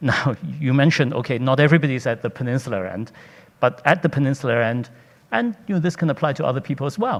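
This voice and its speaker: A man talks at a very fast pace. His pitch is fairly high. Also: ordinary pitch variation. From Hong Kong. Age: 60s. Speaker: hotel company executive. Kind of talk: panel discussion.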